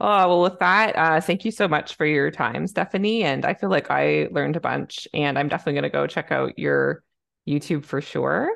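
A woman speaks with a Canadian accent at a moderate pace. Her loudness stays very even against a quiet background. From Canada. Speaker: podcast host, family physician. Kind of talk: casual interview conversation.

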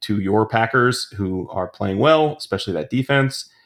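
A man with a normal speaking voice and a fairly low pitch talks at a moderate pace with ordinary pitch variation. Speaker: fantasy football analyst. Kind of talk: casual interview chat.

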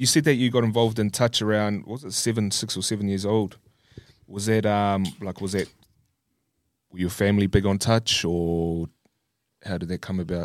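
A man with a New Zealand accent speaks at a moderate pace and a fairly low pitch, with ordinary pitch variation. He leaves long, frequent pauses on a very clean recording with a silent background. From New Zealand, Christchurch. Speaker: podcast host. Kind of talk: casual chat.

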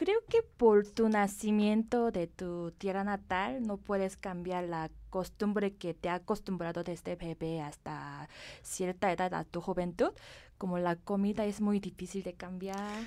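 With a dark, mellow tone and a Korean accent, the speaker goes at a fairly slow pace and fairly even intonation in a very clean recording with a silent background. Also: woman, medium pitch for a woman. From South Korea. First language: Korean (speaking Spanish). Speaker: cosmetics company director. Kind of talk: interview.

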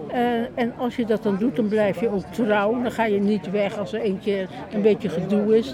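Amid crowd noise, a woman with a medium pitch and ordinary pitch variation speaks at a moderate pace with hardly any pauses. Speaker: retired journalist and former editor-in-chief. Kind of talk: speech at unveiling, then interview.

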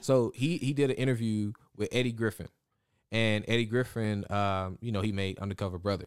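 A man's plain, everyday voice, fairly low in pitch and at a fairly quick pace, on a very clean recording with a silent background. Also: ordinary pitch variation. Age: 20s. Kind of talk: casual chat. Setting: studio.

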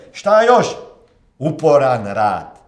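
Audible echo from the room surrounds a man as he talks. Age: 40s. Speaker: motivational coach. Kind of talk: motivational monologue.

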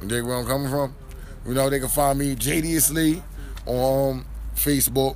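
There is noticeable background noise. Over it, a man speaks with an American accent. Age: 30s. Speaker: rapper. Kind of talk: casual interview. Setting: live event venue.

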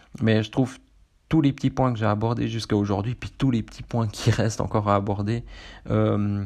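Against a quiet background, a man speaks at a moderate pace in a Swiss accent. His pitch is medium, and his intonation is fairly even. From central Switzerland. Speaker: running podcaster. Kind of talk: casual solo monologue. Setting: seated solo recording. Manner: hesitant, many fillers.

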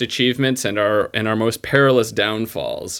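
In a plain, everyday voice, the speaker goes at a moderate pace with ordinary pitch variation on a very clean recording with a silent background. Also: man. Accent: American. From upstate New York (Utica area). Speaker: podcast listener guest. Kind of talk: casual chat.

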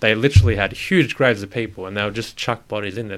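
A man with an Australian accent speaks at a very fast pace with a fairly low pitch. The recording is very clean, with a silent background. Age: 20s. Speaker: podcast guest. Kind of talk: casual chat.

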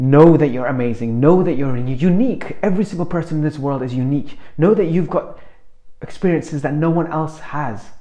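A man speaks in an animated tone at a fairly high pitch and a fairly quick pace, with ordinary pitch variation. Noticeable noise sits in the background. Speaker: motivational speaker. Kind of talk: motivational talk.

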